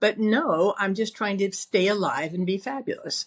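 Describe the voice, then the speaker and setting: Somewhat breathy, a woman speaks at a medium pitch against a quiet background. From US Midwest. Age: 70s. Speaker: cancer survivor. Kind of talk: casual chat.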